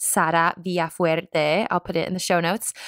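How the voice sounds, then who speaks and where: A woman speaks at a fairly low pitch and a moderate pace. The sound is dry and close, with no echo. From US South, Mississippi (Jackson). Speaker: podcast host. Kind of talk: interview. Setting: video call. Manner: animated.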